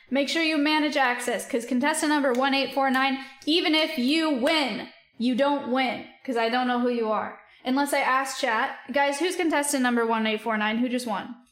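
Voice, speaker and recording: A woman with a high pitch talks at a moderate pace, with ordinary pitch variation. Her loudness stays very even, and the room echo is audible. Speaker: livestreamer. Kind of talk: casual chat.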